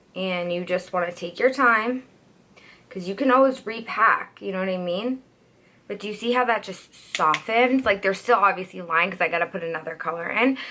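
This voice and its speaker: Over noticeable background noise, a woman at a medium pitch speaks at a fairly quick pace with ordinary pitch variation. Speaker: beauty youtuber and hairstylist. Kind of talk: makeup tutorial. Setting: at home by a window for natural light. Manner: casual, chatty.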